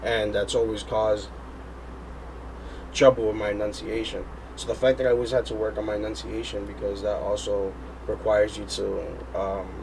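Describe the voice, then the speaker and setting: Long, frequent pauses break up a man's otherwise fairly quick speech. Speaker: rapper and singer. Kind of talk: interview. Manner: energetic.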